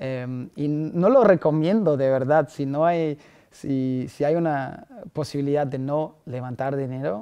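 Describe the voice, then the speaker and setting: A fairly high-pitched man at a fairly slow pace, with big swings in loudness and ordinary pitch variation. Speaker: startup founder. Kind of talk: podcast interview answer. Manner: enthusiastic.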